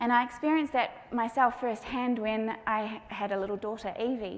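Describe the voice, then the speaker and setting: The voice has a gentle tone and fairly even intonation, moving at a moderate pace with audible room echo. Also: woman. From New Zealand. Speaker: patient experience advocate and parent speaker. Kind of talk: conference talk.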